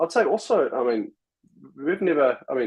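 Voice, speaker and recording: Speaking at a fairly quick pace in a New Zealand accent, a man with a fairly high pitch swings very widely up and down. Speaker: software company executive. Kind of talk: casual interview chat. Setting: live stream video call.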